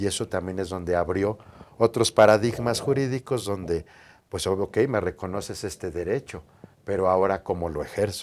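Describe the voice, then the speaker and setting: In a very clean recording with a silent background, a man talks at a moderate pace in a normal speaking voice. His pitch is fairly low, with ordinary pitch variation. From Mexico City. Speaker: lawyer. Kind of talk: interview.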